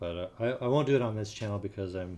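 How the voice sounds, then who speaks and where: The tone is relaxed and the pace moderate. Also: man. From California. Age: 60s. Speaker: cigar roller streamer. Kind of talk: live stream chat. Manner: relaxed, hesitant with fillers.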